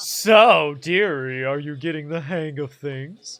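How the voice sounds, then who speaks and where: A man's put-on character voice, fairly high in pitch and at a fairly slow pace. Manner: sweet, patronizing.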